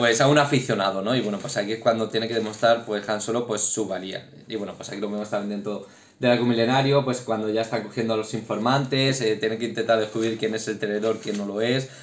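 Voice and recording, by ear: With fairly low pitch and fairly even intonation, a man talks at a fast pace with few pauses.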